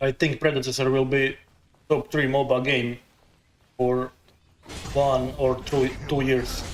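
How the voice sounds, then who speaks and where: Over noticeable background noise, a man with a non-native accent speaks fairly slowly at a medium pitch, in a flat monotone with very even loudness and long, frequent pauses. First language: not English. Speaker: gaming streamer. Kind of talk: live gameplay commentary. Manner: halting.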